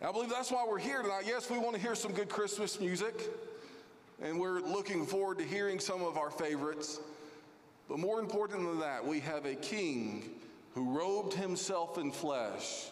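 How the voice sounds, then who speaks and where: Very wide pitch swings mark a man's high-pitched voice at a moderate pace. His loudness stays very even over noticeable background noise. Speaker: lead pastor. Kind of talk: welcome and housekeeping announcements. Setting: church. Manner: friendly, formal.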